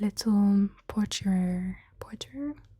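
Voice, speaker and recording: A woman's soft-spoken, somewhat breathy whispering at a very slow pace, in a dry, close sound with no echo. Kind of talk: ASMR soft-spoken ramble. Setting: close microphones. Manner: soft-spoken, quiet, whispery.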